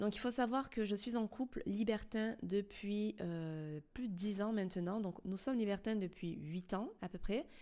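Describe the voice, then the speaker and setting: Pitch varies in an ordinary way. The pace is fairly slow. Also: woman. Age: 30s. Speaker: podcast host. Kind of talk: casual monologue. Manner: hesitant.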